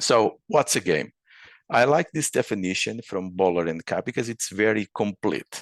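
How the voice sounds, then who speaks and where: A man speaks with vocal fry and lively intonation. The sound is dry and close, with no echo. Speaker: urban planning researcher. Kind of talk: lecture. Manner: halting, with repetitions and fillers.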